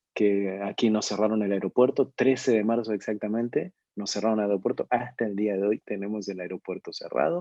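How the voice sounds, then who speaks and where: With an Argentine accent, a man speaks at a fairly low pitch in a dark, mellow tone, with ordinary pitch variation. His fairly quick pace leaves hardly any pauses, and the sound is dry and close with no echo. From Argentina. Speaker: ministry leader, webinar speaker. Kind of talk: online webinar talk. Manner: hesitant, many fillers and repetitions.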